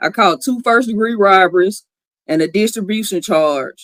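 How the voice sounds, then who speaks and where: A woman with an American accent speaks at a fairly slow pace, her fairly high voice bright and sharp with lively intonation. The sound is dry and close, with no echo. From US South, Tuscaloosa, Alabama. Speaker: formerly incarcerated guest. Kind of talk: interview, personal testimony.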